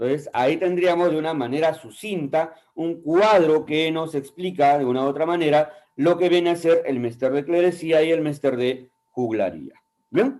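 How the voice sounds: A man's fairly high-pitched voice with a slightly mellow tone, a moderate pace and ordinary pitch variation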